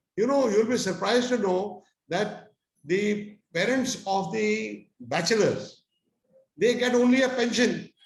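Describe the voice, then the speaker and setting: A man at a fairly slow pace with ordinary pitch variation, plus audible room echo. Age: 80s+. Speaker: retired army officer. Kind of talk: interview. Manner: halting.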